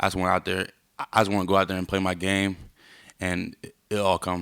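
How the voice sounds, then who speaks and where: Recorded with a dry, close sound and no echo, a man speaks at a very deep, low pitch with monotone, flat intonation. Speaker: college football player. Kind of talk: press interview. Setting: media scrum after practice. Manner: halting, many fillers.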